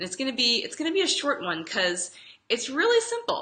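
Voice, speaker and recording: A raised, projected voice moves at a moderate pace with very wide pitch swings, over noticeable background noise. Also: woman. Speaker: health coach. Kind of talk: casual live video talk. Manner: conversational, with fillers and repetitions.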